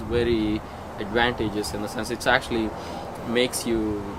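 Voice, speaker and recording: Amid noticeable background noise, a man with a Telugu accent talks at a fairly quick pace and medium pitch. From India, Andhra Pradesh. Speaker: software engineer. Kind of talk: casual interview. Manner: halting.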